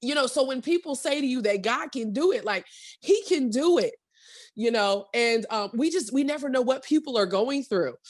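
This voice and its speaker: Loud, animated woman at high pitch with lively intonation and a moderate pace, on a very clean recording with a silent background. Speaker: entrepreneur and radio personality. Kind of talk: casual chat.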